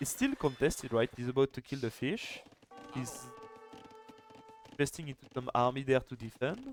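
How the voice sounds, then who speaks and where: With a French accent and medium pitch, a man speaks at a moderate pace. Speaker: esports caster and streamer. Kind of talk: live commentary. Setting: live stream. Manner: animated.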